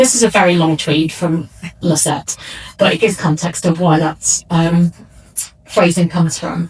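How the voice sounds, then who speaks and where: Over noticeable background noise, a woman with a northern English accent speaks at a moderate pace in a fairly low pitch. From northern England, Greater Manchester. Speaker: book editor. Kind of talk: keynote speech.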